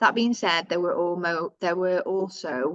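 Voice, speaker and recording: With a northern English accent, a woman of fairly low pitch speaks at a moderate pace. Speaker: housing tenant organisation staff presenter. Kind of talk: webinar presentation of survey results. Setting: video call webinar.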